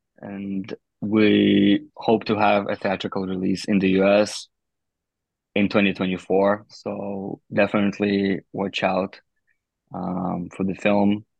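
A man speaks with a Russian accent at a fairly low pitch. His delivery is monotone and flat, at a very slow pace. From Russian Far East. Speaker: film producer. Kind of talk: interview.

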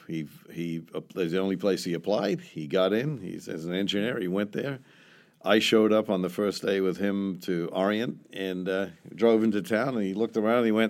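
With an American accent, a man speaks at a moderate pace in a fairly low pitch with ordinary pitch variation, on a very clean recording with a silent background. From New Zealand. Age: 60s. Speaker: restaurant owner and entrepreneur. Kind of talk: interview.

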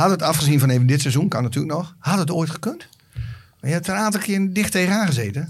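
A man talking at a very fast clip, with lively intonation and a fairly high pitch. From Drenthe, Netherlands. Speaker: podcast sidekick. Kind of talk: casual chat.

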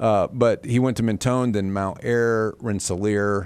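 Here is a plain, everyday voice with an American accent. It moves at a fairly slow pace. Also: man. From northern Indiana. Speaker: gubernatorial candidate. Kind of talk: interview.

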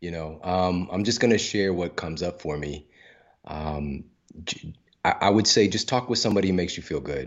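Using an American accent, a man talks fairly quickly at a very deep, low pitch with ordinary pitch variation. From US Midwest, St. Louis, Missouri. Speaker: author and nutritionist. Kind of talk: interview.

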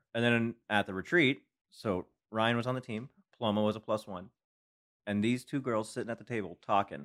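A man speaks fairly quickly at medium pitch with ordinary pitch variation and long, frequent pauses, in a very clean recording with a silent background and a dry, close sound with no echo. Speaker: podcast guest, team friend. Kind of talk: casual chat.

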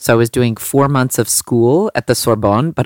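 Recorded very cleanly against a silent background, with a dry, close sound and no echo, a woman speaks fairly slowly in a very deep, low pitch with ordinary pitch variation. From US, Los Angeles. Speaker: fashion designer. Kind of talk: interview.

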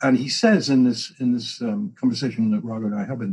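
Speaking at a fairly quick pace, a man with an English accent uses a medium-pitched, somewhat breathy voice with very wide pitch swings. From England. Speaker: co-founder and longtime friend of the show. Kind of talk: casual conversation.

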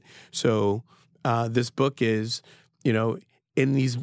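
On a very clean recording with a silent background, a man speaks at a medium pitch in a monotone, flat intonation. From US Northeast. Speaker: sommelier and wine educator. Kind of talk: casual interview. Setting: studio.

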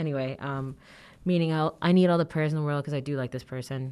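A woman's very deep, low voice with a dark, mellow tone, fairly even intonation and a fairly quick pace, in a very clean recording over a silent background. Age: 20s. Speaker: podcast host. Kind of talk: casual monologue. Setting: office.

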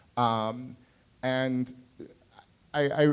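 A man speaks with ordinary pitch variation. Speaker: comedian. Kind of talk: live panel discussion. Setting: stage with audience.

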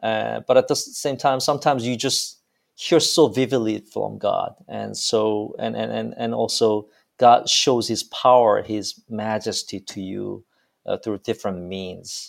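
A man with a Korean accent talks at a fairly slow pace, with big swings in loudness. The recording is very clean, with a silent background. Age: young. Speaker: pastor. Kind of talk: interview. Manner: halting.

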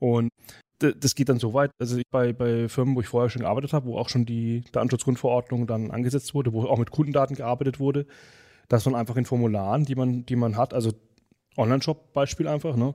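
At a very fast pace, a man with a medium pitch and a dark, mellow tone keeps his intonation fairly even, recorded dry and close with no echo against a silent background on a very clean track. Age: 30s. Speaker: backend developer, podcast co-host. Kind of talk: casual chat.

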